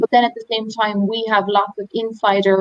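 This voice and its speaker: A woman with an Irish accent. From Ireland. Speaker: tour operator. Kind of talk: webinar presentation.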